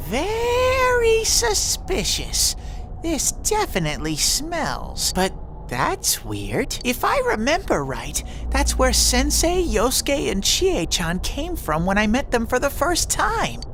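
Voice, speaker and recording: A put-on character voice moves at a fairly slow pace over clear background noise. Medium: video game. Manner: bubbly, playful.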